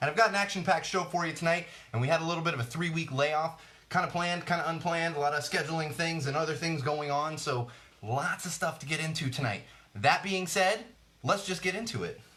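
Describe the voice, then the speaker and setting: An upbeat man at a very fast pace with ordinary pitch variation, over noticeable background noise. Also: fairly high pitch for a man. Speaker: podcast host. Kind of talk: podcast intro.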